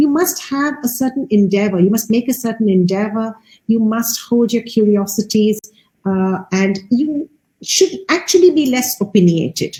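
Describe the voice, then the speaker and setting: A woman speaks at a moderate pace in a fairly high, somewhat breathy voice. Her tone is dark and mellow, with lively intonation. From India. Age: 60s. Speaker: artist and curator. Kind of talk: interview.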